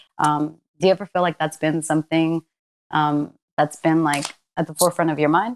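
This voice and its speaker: Nervous in tone, a woman with a very deep, low pitch speaks at a fairly quick pace with fairly even intonation and long, frequent pauses, the sound dry and close with no echo. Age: 20s. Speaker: podcast co-host. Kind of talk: casual chat. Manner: nervous, hesitant, fillers.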